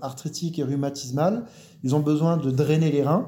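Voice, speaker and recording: A man's fairly high-pitched voice with a dark, mellow tone, a fairly slow pace, fairly even intonation and audible room echo. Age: 40s. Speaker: naturopath. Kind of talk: interview.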